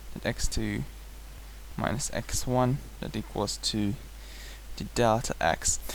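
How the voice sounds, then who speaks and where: Fairly slow speech from a man, non-native accent throughout. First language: not English. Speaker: math tutor. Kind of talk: tutorial lecture. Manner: hesitant at times.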